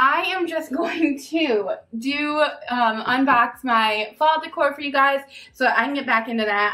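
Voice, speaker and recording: A woman's bright, sharp voice with lively intonation. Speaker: home vlogger. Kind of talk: casual vlog chat. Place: home room. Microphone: camera far.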